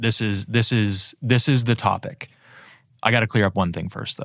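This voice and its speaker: On a very clean recording with a silent background, a man with an American accent speaks in a normal speaking voice, medium in pitch, at a moderate pace with fairly even intonation. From Erie, Pennsylvania. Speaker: business lawyer, law firm founder. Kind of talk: interview.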